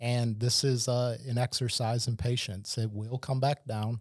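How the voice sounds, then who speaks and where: A man with a normal speaking voice talks at medium pitch with fairly even intonation, the sound dry and close with no echo on a very clean recording with a silent background. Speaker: financial advisor. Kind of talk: casual professional roundtable discussion.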